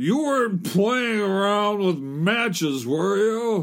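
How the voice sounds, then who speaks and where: A gruff man speaks at a very slow pace on a very clean recording with a silent background. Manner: crabby, gruff.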